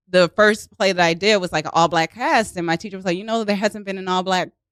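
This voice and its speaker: The sound is dry and close with no echo, on a very clean recording with a silent background. The voice shows ordinary pitch variation. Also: woman. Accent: Baltimore. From US, Baltimore, Maryland. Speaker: actress and improv comedian. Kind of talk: casual chat. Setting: studio.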